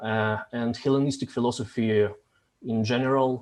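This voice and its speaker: Medium in pitch and monotone, flat in intonation, a man speaks with a Russian accent. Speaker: discussion host, philosophy community facilitator. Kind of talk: interview, reading prepared questions. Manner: halting, frequent hesitations.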